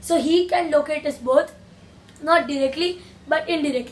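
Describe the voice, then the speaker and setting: A woman with a non-native accent speaks fairly slowly at a high pitch, her intonation fairly even amid noticeable background noise. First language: not English. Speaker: gaming YouTuber. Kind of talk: gaming tutorial. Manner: halting.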